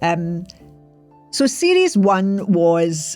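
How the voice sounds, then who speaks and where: A woman's fairly low voice in a very clean recording with a silent background. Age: 60s. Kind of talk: personal podcast monologue. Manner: hesitant, conversational.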